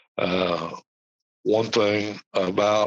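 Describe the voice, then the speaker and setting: A man with an American accent speaks in a monotone, flat intonation. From United States. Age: 60s. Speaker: podcast host. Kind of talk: solo podcast talk.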